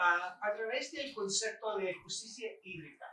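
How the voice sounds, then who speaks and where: A man's high, raised, projected voice at a fairly slow pace. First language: English (speaking Spanish). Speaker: professor. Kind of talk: lecture. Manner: halting.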